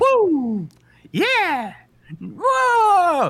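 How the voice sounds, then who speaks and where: Someone speaks in a put-on character voice with an extremely high pitch. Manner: excited, exclaiming.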